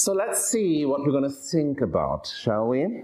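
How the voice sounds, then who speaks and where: A fairly high-pitched man with a German accent and very wide pitch swings, amid audible room echo. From Germany. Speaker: professor of medicine. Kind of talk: lecture. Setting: lecture hall with audience. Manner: animated.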